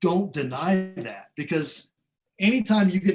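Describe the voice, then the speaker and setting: Over music in the background, a man speaks with lively intonation and an American accent. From Iowa, US Midwest. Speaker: professional trumpet player. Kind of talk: webinar interview.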